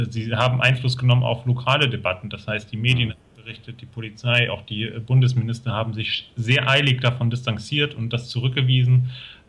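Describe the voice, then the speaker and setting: The speech moves at a fairly quick pace with hardly any pauses and a monotone, flat intonation. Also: man, medium pitch for a man. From Thuringia, eastern Germany. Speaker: sociologist. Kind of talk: interview.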